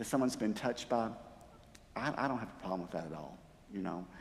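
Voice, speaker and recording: A man's voice swings very widely in pitch, with audible room echo around it. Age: 60s. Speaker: church music director. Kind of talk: talk to a church group. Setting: church sanctuary. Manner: conversational, with many fillers.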